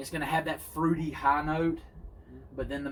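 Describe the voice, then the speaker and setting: The speech moves at a fairly quick pace. Its intonation is monotone and flat. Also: man. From US South. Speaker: pipe smoking channel host. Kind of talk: casual chat. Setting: outdoors.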